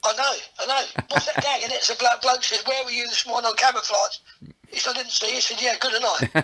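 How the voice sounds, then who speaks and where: A man speaks at an extremely high pitch in an English accent. His pace is very fast and his intonation fairly even. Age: 60s. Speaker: comedian. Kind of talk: casual chat. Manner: halting.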